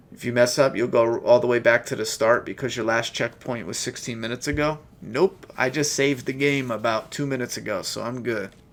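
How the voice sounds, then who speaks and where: A man with a medium pitch speaks at a fairly quick pace with hardly any pauses. His loudness swings widely, and there is noticeable background noise. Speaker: gaming streamer. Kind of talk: let's play commentary. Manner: casual, animated.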